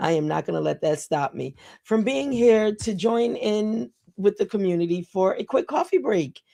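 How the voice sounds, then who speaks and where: A woman with a dark, mellow tone and medium pitch speaks at a moderate pace, her pitch swinging very widely, in a dry, close sound with no echo. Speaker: livestream talk show host. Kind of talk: casual motivational livestream talk. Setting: live stream. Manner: conversational, with fillers.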